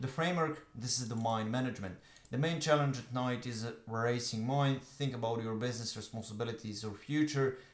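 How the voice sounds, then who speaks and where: A man with a Croatian accent at medium pitch, fairly quick in pace with fairly even intonation, amid audible room echo. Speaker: online business coach. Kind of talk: talking-head tutorial. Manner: fast; hesitant with filler uhs.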